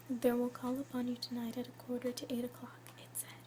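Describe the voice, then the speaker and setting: A woman at a moderate pace against noticeable background noise. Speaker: ASMR artist. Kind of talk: ASMR whispered reading of a classic story. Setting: binaural recording with basic home equipment.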